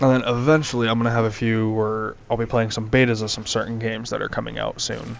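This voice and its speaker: A man's medium-pitched, monotone, flat voice at a moderate pace, with audible room echo. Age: young. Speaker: gaming youtuber. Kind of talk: gameplay commentary. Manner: halting, many fillers; casual.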